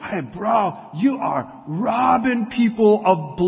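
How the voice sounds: A man's put-on character voice, high-pitched, with lively intonation at a very slow pace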